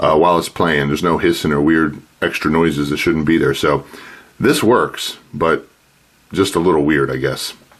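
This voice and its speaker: The speaker holds a very even loudness at a moderate pace amid noticeable background noise. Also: man. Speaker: DIY audio electronics hobbyist. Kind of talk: tutorial. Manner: casual, with fillers.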